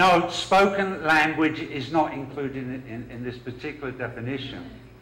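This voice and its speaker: Against noticeable background noise, a man with a London accent talks at a fairly slow pace and fairly high pitch, with ordinary pitch variation. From London, England. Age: 40s. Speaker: professor. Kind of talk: lecture. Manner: hesitant with fillers.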